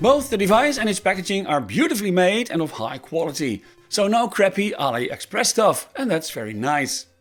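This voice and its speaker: Over music in the background, a man speaks at a fairly quick pace in a high pitch with very wide pitch swings. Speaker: tech reviewer. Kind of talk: product review.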